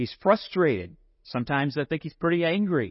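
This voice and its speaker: Moderate pace and lively intonation in a man's plain, everyday voice. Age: 50s. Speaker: preacher. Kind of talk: sermon.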